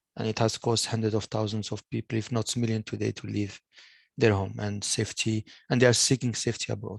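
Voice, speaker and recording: Against a quiet background, a man with a French accent talks at a very fast pace in monotone, flat intonation, the sound dry and close with no echo. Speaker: online meeting host, digital health. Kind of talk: video call presentation. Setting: video call. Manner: halting, many repetitions.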